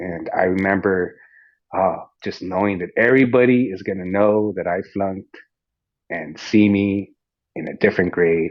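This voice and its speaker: A man with a Spanish accent, fairly low pitch, fairly even intonation, a moderate pace and long, frequent pauses. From US, Mexican-American family. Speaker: fitness coach and podcast host. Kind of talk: casual interview chat. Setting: online audio room. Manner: halting, repeats words.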